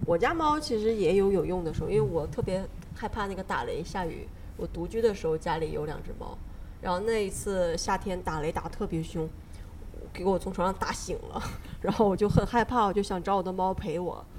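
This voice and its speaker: A woman uses a plain, everyday voice at medium pitch, speaking at a fairly quick pace with ordinary pitch variation. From Northeast China. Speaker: podcast host. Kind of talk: casual chat; podcast outro.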